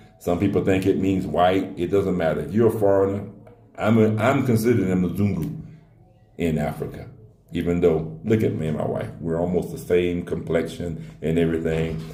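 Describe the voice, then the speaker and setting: With audible room echo and noticeable background noise, a man talks at a moderate pace in a very deep, low pitch with ordinary pitch variation. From US. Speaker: relocation adviser. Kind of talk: casual Q&A talk. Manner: conversational, with frequent fillers.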